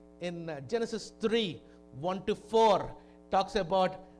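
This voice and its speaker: Music plays in the background as a man talks at a fairly slow pace. His pitch is high. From India, Kakinada (Andhra Pradesh). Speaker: visiting preacher. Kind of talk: sermon. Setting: church. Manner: halting.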